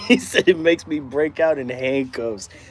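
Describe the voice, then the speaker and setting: Against noticeable background noise, a man with an American accent speaks at a moderate pace in a relaxed tone. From Texas. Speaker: dog trainer. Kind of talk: casual live-stream chat answering viewer comments. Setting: outdoors in hot weather. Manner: relaxed, laid-back.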